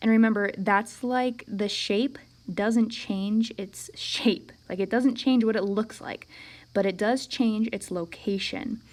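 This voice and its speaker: A woman speaks slowly, at a fairly slow pace, with a fairly high pitch. She has a plain, everyday voice and ordinary pitch variation. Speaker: math teacher. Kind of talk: recorded lesson. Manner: casual.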